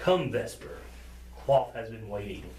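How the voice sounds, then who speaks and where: A man does a put-on character voice at a moderate pace. Background noise is clearly heard. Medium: actual play. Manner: calm, persuasive.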